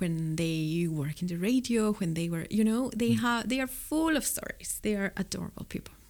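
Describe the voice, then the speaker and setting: In a very clean recording with a silent background, a woman with a Mexican accent talks at a moderate pace with lively intonation and a medium pitch. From Mexico City. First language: Spanish. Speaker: record store owner. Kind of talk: casual interview.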